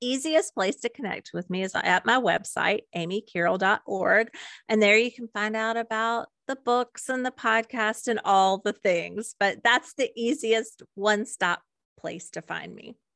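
A woman talks at a fairly slow pace with lively intonation and a bright, sharp tone. The sound is dry and close with no echo, over a quiet background. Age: 50s. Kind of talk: podcast interview.

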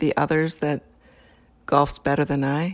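Speaking with an American accent, the woman uses a very deep, low pitch and keeps a moderate pace. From Wisconsin. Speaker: recreational golfer. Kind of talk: interview.

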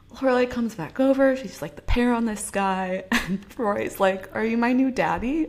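A plain, everyday voice with lively intonation. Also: woman, fairly high pitch for a woman, moderate pace, hardly any pauses. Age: 20s. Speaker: podcast co-host. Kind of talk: casual chat.

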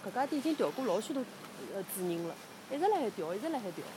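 A woman's fairly high voice at a very fast pace with very wide pitch swings, over noticeable background noise. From Shanghai. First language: Shanghainese (speaking Chinese). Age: 30s. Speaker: local resident. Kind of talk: walking tour recollection. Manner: halting.

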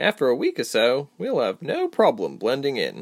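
Delivered at a moderate pace, this put-on character voice has vocal fry and very wide pitch swings.

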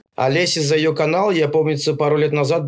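This is a normal speaking voice. It moves at a moderate pace with fairly even intonation. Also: man. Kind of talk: casual chat.

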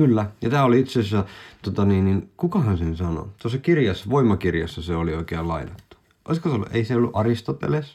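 His pitch jumps around very widely. The man's delivery is very fast. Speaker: podcast co-host. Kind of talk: casual chat. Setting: studio. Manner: halting, many fillers.

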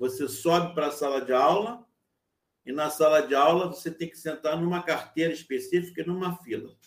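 A man with a fairly high pitch talks at a moderate pace, using ordinary pitch variation while his loudness swings widely. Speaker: university lecturer. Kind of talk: lecture. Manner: halting.

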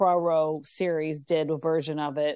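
A woman speaks in an American accent with a dark, mellow tone. The background is quiet. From United States. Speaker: podcast co-host. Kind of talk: casual chat. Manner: halting, many fillers.

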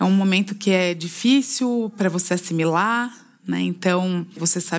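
A woman has an unremarkable speaking voice, medium in pitch with ordinary pitch variation. She talks at a fairly slow pace on a very clean recording with a silent background. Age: 40s. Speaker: cancer patient. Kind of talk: testimony.

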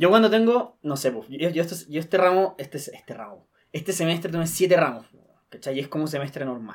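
Fairly quick speech with lively intonation swings widely in loudness. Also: man, high pitch for a man. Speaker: podcast host. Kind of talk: casual chat.

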